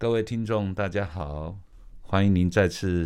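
This man has a very deep, low pitch, a dark, mellow tone and a Taiwanese accent. He talks at a moderate pace on a very clean recording with a silent background. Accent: Taiwanese Mandarin. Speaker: radio host. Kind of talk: casual chat.

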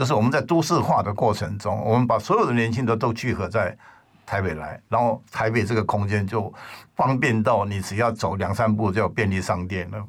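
A man with a plain, everyday voice talks at a fairly low pitch and a fairly quick pace, with ordinary pitch variation. The recording is very clean, the background silent. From Taiwan. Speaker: record label founder. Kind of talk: casual chat.

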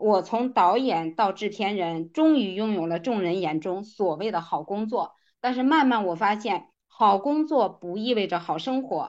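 A woman's ordinary speaking voice, medium in pitch, with lively intonation at a fairly slow pace against a quiet background. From rural China. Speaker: direct-selling business leader. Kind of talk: motivational lecture.

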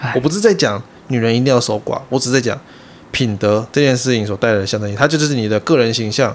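A man with an ordinary speaking voice talks at a medium pitch and a fairly quick pace. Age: 30s. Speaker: podcast co-host. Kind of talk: casual chat.

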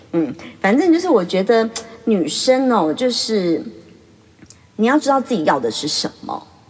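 A woman's medium-pitched voice with very wide pitch swings, amid noticeable background noise. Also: long, frequent pauses. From Taiwan. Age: 40s. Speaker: beautician and podcast host. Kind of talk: casual monologue. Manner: chatty, laughs often.

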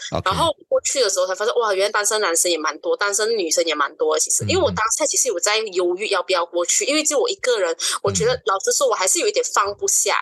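Talking at a very fast pace with hardly any pauses, a woman with a Malaysian accent keeps her loudness very even over noticeable background noise. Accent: Malaysian Chinese Mandarin. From East Malaysia, Sarawak (Kuching). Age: 20s. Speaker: podcast guest. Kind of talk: casual chat.

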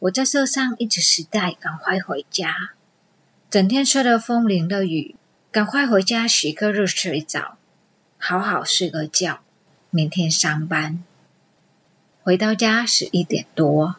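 A woman with a Vietnamese accent speaks at a very slow pace, leaving long, frequent pauses. Her intonation is lively. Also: medium pitch for a woman. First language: Vietnamese (speaking Chinese). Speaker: immigrant storyteller, amateur actress. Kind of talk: recorded personal storytelling.

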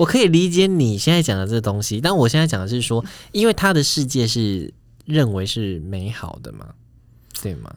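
At a moderate pace, a man with a medium pitch speaks with very wide pitch swings and big swings in loudness. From southern Taiwan. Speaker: podcast co-host. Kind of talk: casual chat.

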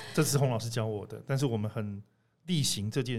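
Talking at a fairly quick pace, a man with a plain, everyday voice keeps a medium pitch with ordinary pitch variation. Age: middle-aged. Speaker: podcast host. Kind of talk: casual chat.

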